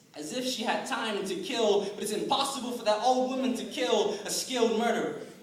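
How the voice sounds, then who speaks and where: Moderate pace, ordinary pitch variation, and noticeable background noise. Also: man. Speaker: slam poet. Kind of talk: slam poetry performance. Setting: live event with audience.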